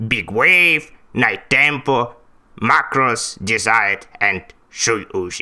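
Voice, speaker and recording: This is a put-on character voice. It moves at a very slow pace. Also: man, medium pitch for a man. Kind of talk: vtuber debut self-introduction.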